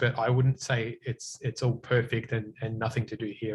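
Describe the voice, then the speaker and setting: In an Australian accent, a man speaks at a medium pitch, somewhat breathy and with monotone, flat intonation. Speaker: cloud consultant, guest speaker. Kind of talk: technical talk with Q&A.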